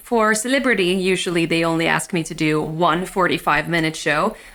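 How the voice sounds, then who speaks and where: A woman with a Swedish accent and a bright, sharp tone at a moderate pace. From Sweden. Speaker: magician. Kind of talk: interview.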